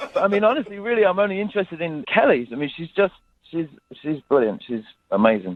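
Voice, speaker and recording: Speaking very fast with a British accent, a man uses a high pitch that swings very widely. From England, Coventry. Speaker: caller. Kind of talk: phone-in chat. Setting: phone call. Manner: halting.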